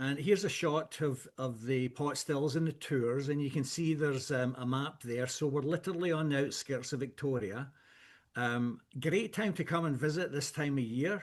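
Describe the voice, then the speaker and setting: Against a quiet background, a man with a strong Scottish accent talks at a moderate pace, his pitch fairly high with ordinary variation. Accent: thick Scottish. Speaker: whisky blender. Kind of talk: product presentation. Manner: hesitant, many fillers.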